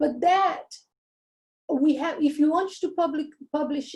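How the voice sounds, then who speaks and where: At a fairly slow pace, a woman talks in a Portuguese accent with a dark, mellow tone. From Brazil. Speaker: university lecturer. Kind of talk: workshop lecture.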